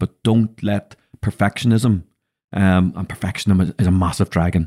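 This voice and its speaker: With a Northern Irish accent, a man speaks at a moderate pace in a fairly low, dark, mellow voice with fairly even intonation. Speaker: podcast host and business mentor. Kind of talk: casual chat. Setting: studio.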